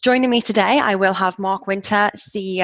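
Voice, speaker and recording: The speech moves at a moderate pace with ordinary pitch variation. The sound is dry and close, with no echo. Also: woman. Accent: English. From England. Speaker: project manager, webinar host. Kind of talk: webinar presentation. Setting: video call webinar.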